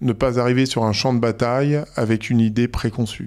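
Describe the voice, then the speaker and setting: In a very clean recording with a silent background, a man talks at a moderate pace and a medium pitch, his intonation monotone and flat. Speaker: entrepreneur. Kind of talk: interview. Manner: loud; hesitant, repeats words.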